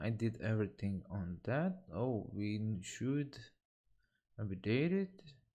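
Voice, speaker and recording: A non-native accent over a quiet background. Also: man. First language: not English. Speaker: software developer streamer. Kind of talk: live coding tutorial. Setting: live stream. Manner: halting, with fillers.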